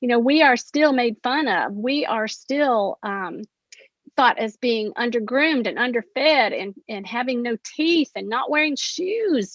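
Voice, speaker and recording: A high-pitched woman with an Appalachian accent, at a fairly slow pace. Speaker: poet. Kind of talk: panel discussion.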